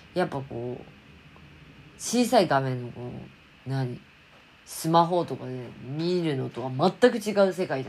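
With a very deep, low pitch, a woman talks at a moderate pace in an animated tone, her loudness swinging widely, her pitch ranging very widely, and her speech broken by long, frequent pauses. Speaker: fashion designer and YouTuber. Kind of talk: casual vlog monologue.

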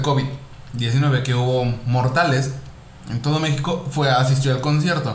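A man speaks in a Mexican accent with fairly even intonation. The recording has audible room echo and noticeable background noise. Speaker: podcast host. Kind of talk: casual chat.

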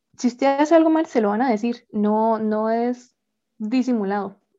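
Speaking at a fairly slow pace, a woman has a fairly high pitch, ordinary pitch variation, and a dark, mellow tone. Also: long, frequent pauses. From Costa Rica. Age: 20s. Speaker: pianist and composer. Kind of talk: interview.

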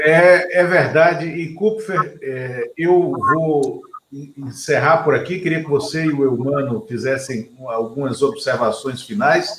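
Noticeable background noise runs under a man who speaks at a very slow pace. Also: fairly high pitch for a man, ordinary pitch variation. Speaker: political talk show host. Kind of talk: interview.

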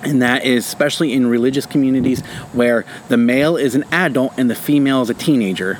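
Against noticeable background noise, a man talks at a very fast pace, his medium pitch showing ordinary variation. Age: 30s. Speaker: podcast co-host, stay-at-home parent. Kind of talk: casual chat.

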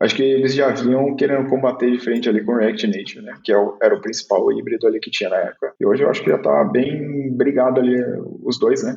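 A man talks at a very fast pace. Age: 20s. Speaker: mobile developer. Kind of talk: casual chat.

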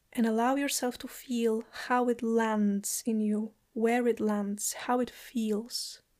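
In a very clean recording with a silent background, a woman speaks in a warm, gentle tone with monotone, flat intonation at a very slow pace and hardly any pauses. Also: fairly high pitch for a woman. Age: 30s. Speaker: podcast host and lomi lomi massage practitioner. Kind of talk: guided meditation, inviting listeners to close eyes and repeat an affirmation; solo podcast monologue, personal reflection. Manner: slow, gentle and soothing with pauses; warm, heartfelt, occasionally laughing.

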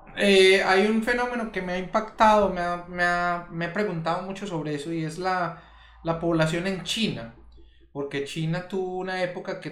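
Music plays in the background as a man with a high voice speaks at a moderate pace, with audible room echo. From Colombia. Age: 40s. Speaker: podcast co-host. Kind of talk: casual discussion.

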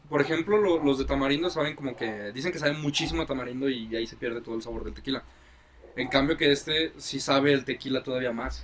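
Through noticeable background noise, a man with a fairly high pitch talks very fast with ordinary pitch variation. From Mexico, Guadalajara. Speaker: podcast co-host. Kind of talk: casual chat. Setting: outdoors. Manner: animated.

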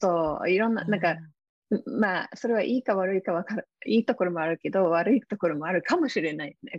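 The woman talks at a very fast pace. Her medium pitch moves with ordinary variation. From UK. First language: English (speaking Japanese). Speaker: success coach and author. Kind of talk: interview. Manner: halting, many fillers.

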